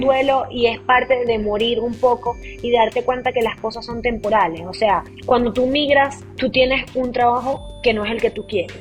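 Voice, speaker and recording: The speech moves at a moderate pace with fairly even intonation and hardly any pauses. Music plays in the background. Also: woman, fairly high pitch for a woman. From Maracaibo, Venezuela. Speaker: podcast host and audiovisual producer. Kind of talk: interview answer.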